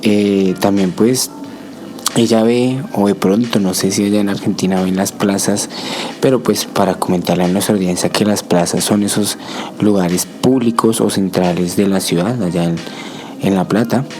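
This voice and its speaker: Fairly even intonation and very even loudness at a moderate pace, over noticeable background noise. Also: man, fairly low pitch for a man. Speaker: community radio podcast host. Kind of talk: casual chat.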